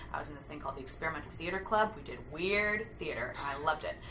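A woman with an American accent speaks at a very fast pace with big swings in loudness. Noticeable background noise and audible room echo fill the recording. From Southern California. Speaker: actress and singer. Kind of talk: casual interview chat. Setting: recording studio.

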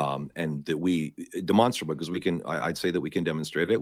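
Vocal fry colors this speech, delivered with a Canadian accent. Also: man. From Canada. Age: 50s. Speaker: Orthodox priest. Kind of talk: interview conversation. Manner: halting, many repetitions.

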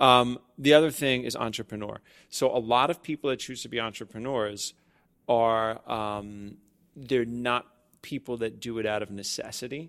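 On a very clean recording with a silent background, a man uses a normal speaking voice at medium pitch, with a moderate pace and fairly even intonation. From Staten Island, New York. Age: 40s. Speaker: podcast host and wellness studio owner. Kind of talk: casual chat. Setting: studio.

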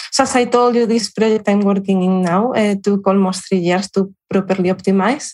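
A woman with a Spanish accent at medium pitch, moderate pace with hardly any pauses, very even loudness and fairly even intonation. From Spain, Salamanca. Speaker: cancer researcher. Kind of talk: interview. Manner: halting, with fillers.

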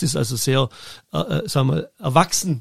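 A man's fairly quick, somewhat breathy delivery. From Germany. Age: 50s. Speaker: football event production manager. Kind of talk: interview. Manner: halting, many fillers.

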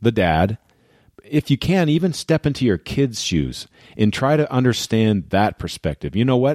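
With a normal speaking voice and lively intonation, a man talks at a moderate pace on a very clean recording with a silent background and a dry, close sound with no echo. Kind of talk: guided visualisation pep talk. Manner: earnest, warm, direct address to listeners.

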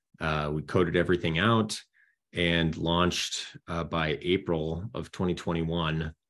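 Slow-paced and very deep, a man with an American accent speaks with fairly even intonation. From US Midwest, Minnesota. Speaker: army veteran and real estate business founder. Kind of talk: interview.

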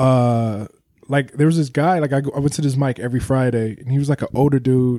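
A man with an unremarkable speaking voice talks at a fairly quick pace and medium pitch, his intonation fairly even and his loudness very even. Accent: American. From Ohio, US. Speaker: podcast host and comedian. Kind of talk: casual chat; podcast outro.

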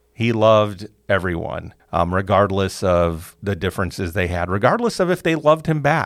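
A man with an American accent speaks in a normal speaking voice, fairly low in pitch, with lively intonation at a moderate pace. The recording is very clean with a silent background. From US Midwest, Chicago. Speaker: university department chair. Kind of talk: interview.

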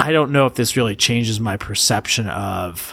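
Fairly slow in pace, a man talks at a medium pitch. He has a normal speaking voice. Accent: American. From United States. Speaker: podcast co-host. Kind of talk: casual chat.

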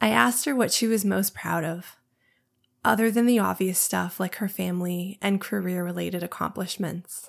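Vocal fry runs through fairly even intonation at a moderate pace, in a very clean recording with a silent background. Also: woman.

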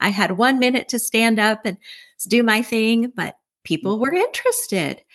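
This woman has a normal speaking voice with ordinary pitch variation. Her pace is moderate. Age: 60s. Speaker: networking group leader. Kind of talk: casual interview; sales pitch.

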